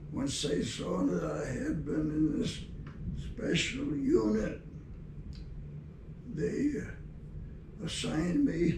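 A man talks at a very slow pace with long, frequent pauses. Audible room echo and noticeable background noise surround him. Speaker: war veteran. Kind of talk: interview answer. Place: office.

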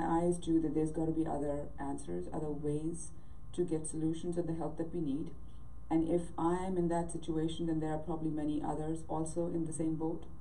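Light background noise sits behind a woman with a very deep, low pitch. She talks at a fairly quick pace. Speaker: remote guest. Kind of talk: interview answer. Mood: warm, reflective. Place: home room. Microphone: video call.

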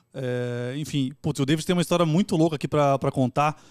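A man's fairly high voice at a very fast pace with ordinary pitch variation, in a dry sound with no echo over a quiet background. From Brazil, São Paulo east zone; Brazil. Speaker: podcast host. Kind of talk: casual chat. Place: studio. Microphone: studio mic.

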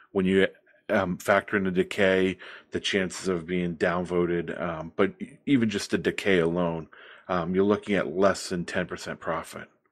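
A man's very deep, low voice at a moderate pace, fairly even in intonation, against a quiet background. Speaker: bidding bot operator; presenter. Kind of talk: project pitch. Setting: online group voice call. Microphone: video call.

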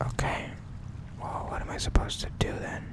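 A man is whispering. There is noticeable background noise. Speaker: ASMR gaming channel host. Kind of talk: casual gameplay commentary. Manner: whispered.

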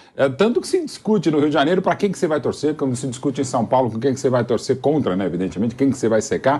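A man with very wide pitch swings. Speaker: football pundit. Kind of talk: casual chat. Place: studio. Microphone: lapel.

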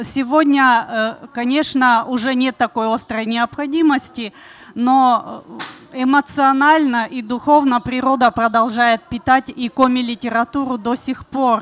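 A woman with a high voice speaks at a very slow pace. Her intonation is fairly even. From Komi Republic, Russia. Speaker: speaker. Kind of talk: panel discussion talk. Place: stage. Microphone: handheld.

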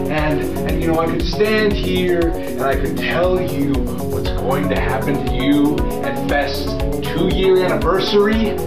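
Over loud background music, a man talks at a fairly slow pace. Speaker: pro wrestler. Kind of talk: wrestling promo. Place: studio.

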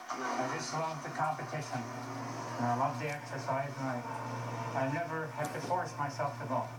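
Moderate-paced speech against loud background noise. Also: man. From Cape Breton, Nova Scotia. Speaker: amateur hockey player. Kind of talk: interview answer. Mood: cheerful, content. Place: hall.

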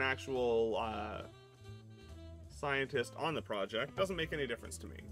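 Faint music sits in the background while a man speaks at a moderate pace. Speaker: live streamer. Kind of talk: casual stream chat. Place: home room.

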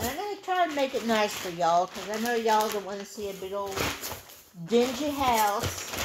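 A woman keeps a moderate pace while noticeable background noise carries on. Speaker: beauty haul vlogger. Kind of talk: casual vlog chat. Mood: relaxed, self-mocking. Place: home room. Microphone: phone near.

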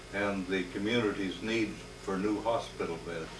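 Light background noise and audible room echo accompany a man with an American accent and a fairly low pitch. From Northern California. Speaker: retired hospital worker; interviewee. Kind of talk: elder life story, reflective oral history recollection. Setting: home interview. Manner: unhurried, reminiscing, with frequent filler pauses; warm, sincere, affectionate. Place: home room. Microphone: old recording.

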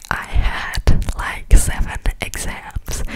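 Whispered speech from a woman. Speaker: ASMR creator. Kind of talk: ASMR whisper ramble. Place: home room. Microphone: studio mic.

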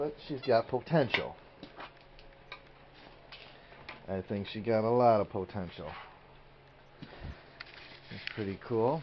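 A man speaks at a very slow pace with ordinary pitch variation and long, frequent pauses, against noticeable background noise. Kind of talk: casual vlog chat. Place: garage. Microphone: phone near.

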